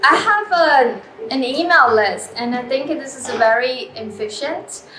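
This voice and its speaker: In a Chinese accent, a woman speaks in a raised, projected voice at a high pitch, with very wide pitch swings and big swings in loudness. Noticeable background noise runs behind her. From China. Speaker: artist. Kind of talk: interview. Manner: hesitant, many fillers.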